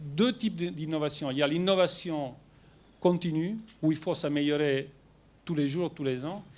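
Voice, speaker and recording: A man's fairly high pitch with ordinary pitch variation, a strong Italian accent and a fairly slow pace, on a very clean recording with a silent background. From Italy. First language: Italian (speaking French). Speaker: company executive. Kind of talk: presentation to shareholders. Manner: hesitant with many fillers.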